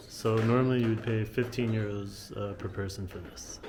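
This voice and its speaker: The voice is monotone and flat, with audible room echo and noticeable background noise. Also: man. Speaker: travel vlogger. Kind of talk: casual vlog narration. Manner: whispering in chapel.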